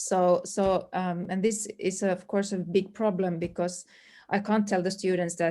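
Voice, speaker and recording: A woman's dark, mellow, medium-pitched voice with a Swedish accent and monotone, flat intonation. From Finland, Swedish-speaking community. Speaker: language teacher. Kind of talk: webinar panel discussion. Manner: halting, many fillers.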